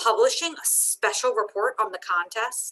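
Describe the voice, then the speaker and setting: A woman's put-on character voice, fairly high in pitch. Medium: read story.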